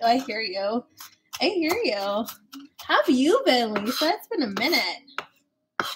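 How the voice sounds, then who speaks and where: A woman talks very slowly at a high pitch, her voice swinging very widely. Background noise is noticeable. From Filipino Chinese heritage. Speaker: cooking streamer. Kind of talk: live cooking stream. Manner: casual and chatty. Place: kitchen. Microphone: webcam.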